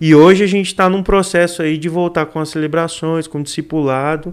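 Using an ordinary speaking voice, a man talks at a fairly high pitch and a moderate speed. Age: 20s. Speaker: youth pastor and seminary student. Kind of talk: casual chat.

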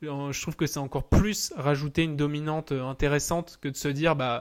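In an ordinary speaking voice, a man talks at a fairly high pitch with fairly even intonation on a very clean recording with a silent background. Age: 20s. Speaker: tennis entrepreneur. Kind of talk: casual interview.

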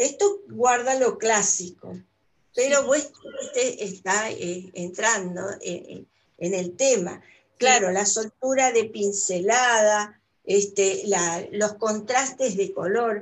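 A woman speaks very slowly in a fairly high voice, with ordinary pitch variation. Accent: Argentine. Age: 70s. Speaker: retired painter and art teacher. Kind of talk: casual interview. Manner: halting, many fillers.

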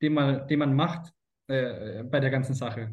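A somewhat breathy man's voice, fairly high in pitch, at a moderate pace. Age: 30s. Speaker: sales consultant. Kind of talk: interview.

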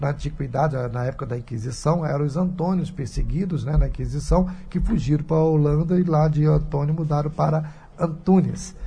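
A man speaks in a dark, mellow tone that is somewhat breathy, with ordinary pitch variation. Room echo can be heard. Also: fairly high pitch for a man, fairly quick pace. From Brazil, Rio de Janeiro. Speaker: radio host and pastor. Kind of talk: radio talk show. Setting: radio studio.

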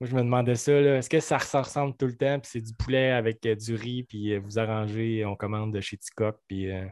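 With a Quebec accent, a man at medium pitch speaks at a moderate pace with fairly even intonation, the sound dry and close with no echo. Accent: Québécois French. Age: 30s. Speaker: podcast host, shop owner. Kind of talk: casual interview.

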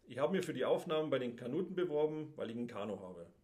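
A man with a fairly high pitch and lively intonation. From Denmark. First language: Danish (speaking German). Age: 50s. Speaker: handball player. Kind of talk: casual chat.

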